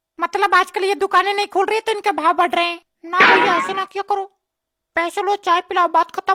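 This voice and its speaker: In a cartoonish character voice, a woman talks at a very fast pace with extremely high pitch and monotone, flat intonation, the sound dry and close with no echo. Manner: cheeky, teasing.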